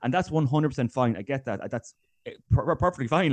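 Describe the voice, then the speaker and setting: A man with an Irish accent has a dark, mellow tone and ordinary pitch variation. The background is quiet. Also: dry, close sound with no echo. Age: 20s. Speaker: GAA fitness coach. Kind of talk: casual interview.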